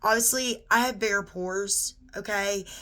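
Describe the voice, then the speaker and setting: Her tone is bright and sharp, her pitch medium, as a woman speaks fairly slowly. The recording is very clean, with a silent background. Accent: Southern US. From US South (Georgia). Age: 30s. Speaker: beauty vlogger. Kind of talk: tutorial. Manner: casual, conversational.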